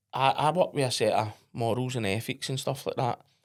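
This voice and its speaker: Against a silent background, the recording is very clean and the words come at a moderate speed. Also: man. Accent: Scottish. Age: 40s. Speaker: entrepreneur. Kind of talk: podcast interview. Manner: blunt, straight-talking.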